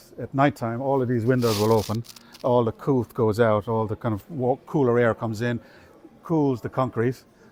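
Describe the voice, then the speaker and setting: A man with an Irish accent and a medium pitch speaks at a fairly quick pace, the sound dry and close with no echo. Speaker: university estates manager giving a campus tour. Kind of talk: guided tour talk. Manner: conversational with frequent fillers and restarts.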